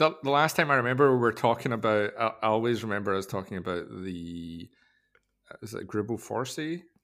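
A man with an unremarkable speaking voice, medium pitch, lively intonation and a fairly quick pace. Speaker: watch podcast host. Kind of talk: casual chat.

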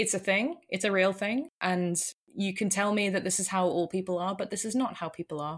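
In a British accent, a woman with a medium-pitched voice talks at a fairly quick pace with ordinary pitch variation. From UK. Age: 30s. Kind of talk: casual interview chat. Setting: remote call.

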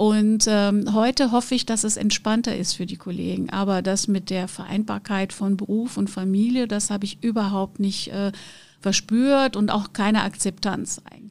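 At a moderate pace, a woman talks at medium pitch with monotone, flat intonation. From Brazil, Rio de Janeiro. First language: Portuguese (speaking German). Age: 50s. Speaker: conference interpreter and business owner. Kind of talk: interview.

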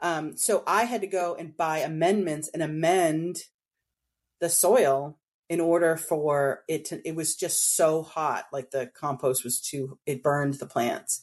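Against a quiet background, a woman with an American accent and a very deep, low pitch speaks fairly slowly with ordinary pitch variation. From Boston, New England. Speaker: home gardener. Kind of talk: casual interview.

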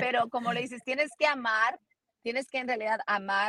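Dry and close with no echo, a woman's bright, sharp voice moves with ordinary pitch variation. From United States. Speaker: NFL analyst and sports reporter. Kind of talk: interview.

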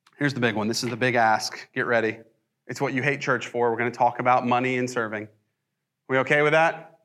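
With an American accent, a man speaks at a medium pitch with fairly even intonation. His tone is bright and sharp. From US South. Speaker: pastor. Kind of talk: sermon. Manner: casual, with many fillers and restarts.

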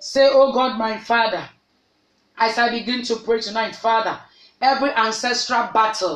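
A woman with an unremarkable speaking voice, fairly high pitch, fairly even intonation and a moderate pace. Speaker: pastor. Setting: online prayer broadcast. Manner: commanding and declarative, issuing prayers as decrees.

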